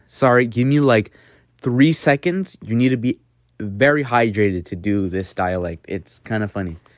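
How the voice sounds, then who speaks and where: In a very clean recording with a silent background, a man with a plain, everyday voice and an American accent speaks at a moderate pace and fairly low pitch with lively intonation. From United States. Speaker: language learning youtuber. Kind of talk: casual tutorial. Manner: casual, self-deprecating.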